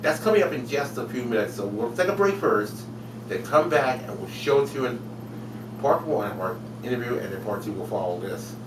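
Fairly quick speech comes from a man. Noticeable background noise runs underneath. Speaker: web show host. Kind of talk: show host intro. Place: home room. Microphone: webcam.

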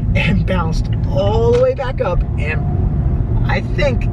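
A woman talks fairly slowly while loud noise fills the background. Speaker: vlogger. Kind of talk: casual vlog chat. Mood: cheerful, laughing. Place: car. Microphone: phone near.

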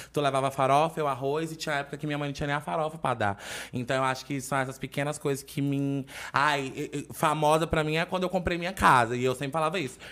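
Bright and sharp in tone, a man's fairly high voice rushes along at a very fast pace. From Fortaleza, Ceará, Brazil; Ceará, Brazil. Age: 20s. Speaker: internet personality; podcast guest. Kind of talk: casual chat. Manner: animated. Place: studio. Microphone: studio mic.

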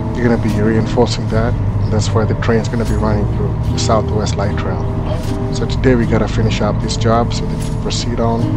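Music sits in the background as a man talks at a moderate pace. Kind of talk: casual vlog narration. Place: car. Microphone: camera far.

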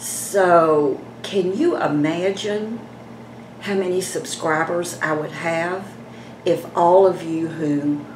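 There is noticeable background noise. The voice shows ordinary pitch variation. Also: woman. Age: 70s. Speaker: beauty vlogger. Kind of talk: casual vlog talk to camera. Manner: chatty. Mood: chatty, gently persuasive. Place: home room. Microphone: phone near.

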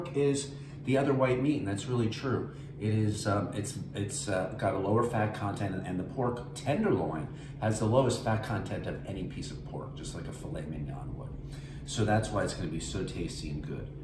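Against noticeable background noise, a man talks at a moderate pace. His fairly low voice makes very wide pitch swings. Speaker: home cook host. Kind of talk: cooking tutorial chat. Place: kitchen. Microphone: camera far.

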